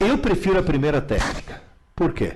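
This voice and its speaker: A man is talking. His pace is fairly quick. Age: 70s. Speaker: teacher. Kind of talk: live Q&A.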